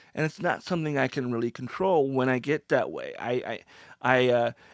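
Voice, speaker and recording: A normal speaking voice from a man with an American accent, medium pitch and moderate pace, dry and close with no echo, in a very clean recording with a silent background. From US Pacific Northwest. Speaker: podcast co-host. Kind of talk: casual chat.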